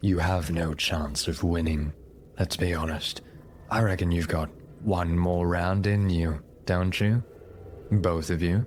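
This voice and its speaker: A man in a put-on character voice, very deep and low, at a fairly slow pace with long, frequent pauses and clear background noise. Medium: actual play. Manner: smug, taunting.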